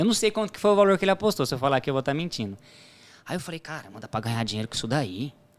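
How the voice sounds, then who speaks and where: A man with a fairly high pitch talks at a very fast pace. His pitch swings very widely, and his loudness swings a lot too. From Brazil, São Paulo (Diadema) then Paraná. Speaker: sports betting tipster. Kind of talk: podcast interview.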